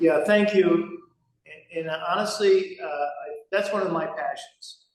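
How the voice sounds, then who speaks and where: A man speaks in an American accent with fairly even intonation. His pace is moderate, and audible room echo surrounds him. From Rhode Island, US. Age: 70s. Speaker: business executive. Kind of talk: interview.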